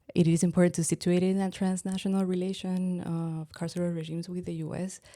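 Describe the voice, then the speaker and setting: In a Spanish accent, a woman speaks with a fairly low pitch and a dark, mellow tone, her intonation monotone and flat. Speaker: anthropologist. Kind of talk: interview. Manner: halting.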